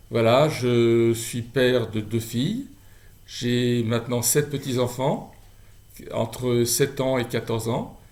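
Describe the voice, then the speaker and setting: A medium-pitched man in a monotone, flat delivery at a very slow pace. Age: 60s. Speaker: charity volunteer. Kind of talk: testimony. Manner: halting.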